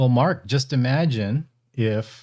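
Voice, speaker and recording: A man speaks with an American accent and ordinary pitch variation. His tone is dark and mellow. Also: very clean recording, silent background. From Northern California, Bay Area. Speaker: ham radio podcaster and battery maker. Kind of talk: live stream casual chat. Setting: live stream.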